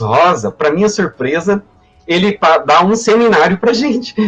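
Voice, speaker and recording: Music plays in the background as a man with a high pitch talks at a moderate pace with lively intonation. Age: 60s. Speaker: history professor. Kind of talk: personal testimony in a live panel. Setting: online live stream. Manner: halting, many repetitions and fillers.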